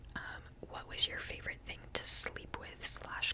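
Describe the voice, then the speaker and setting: A woman whispers. There is noticeable background noise. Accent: American. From US Pacific Northwest, Seattle. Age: 20s. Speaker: ASMR creator and genetic counseling student. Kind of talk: Q&A video, casual whispered chat. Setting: at home. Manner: whispering; casual with many fillers.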